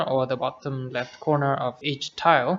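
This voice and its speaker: The speaker keeps a moderate pace and fairly even intonation while noticeable background noise runs underneath. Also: man. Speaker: software tutorial creator. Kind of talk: tutorial. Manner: halting, many fillers and repeats.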